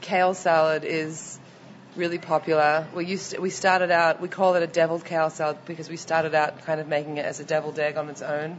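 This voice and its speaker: A woman with a slight Australian accent talks at a fairly quick pace in a very deep, low voice with monotone, flat intonation. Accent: mild Australian. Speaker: restaurant owner. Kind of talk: casual interview. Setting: restaurant.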